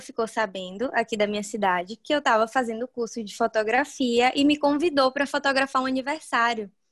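Against a quiet background, a woman talks at a moderate pace with ordinary pitch variation, the sound dry and close with no echo. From Bahia, Brazil. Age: 20s. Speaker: wedding and family photographer. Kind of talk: interview.

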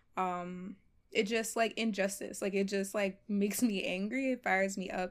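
A woman with an American accent has a plain, everyday voice at medium pitch, with fairly even intonation and a moderate pace. The recording is very clean, with a silent background. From US Northeast, Philadelphia. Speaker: medical student. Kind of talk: casual chat.

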